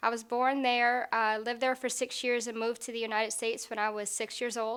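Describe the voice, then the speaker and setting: A high-pitched woman's voice in a flat monotone, on a very clean recording with a silent background. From US South, Florida (Fort Lauderdale), from age six. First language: Portuguese. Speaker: military surgical technologist. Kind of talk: interview testimony.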